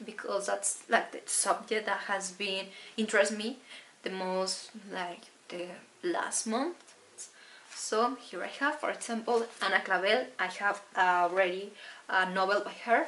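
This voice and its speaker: A woman with a Spanish accent, medium pitch and ordinary pitch variation, at a fairly slow pace, with noticeable background noise. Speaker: book vlogger. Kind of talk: casual book haul talk. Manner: halting.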